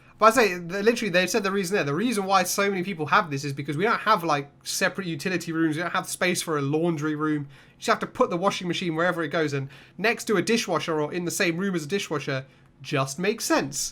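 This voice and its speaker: Speaking at a very fast pace with a British accent, a man has a high pitch, ordinary pitch variation, and a bright, sharp tone. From England. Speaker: YouTube reaction host. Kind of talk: casual reaction commentary. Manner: animated.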